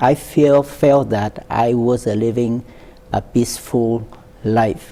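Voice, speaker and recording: Over noticeable background noise, a man with a Vietnamese accent speaks at a very slow pace, medium in pitch, with fairly even intonation. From central Vietnam, Quang Tri. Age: 70s. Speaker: war veteran. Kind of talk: oral history interview. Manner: halting, many fillers.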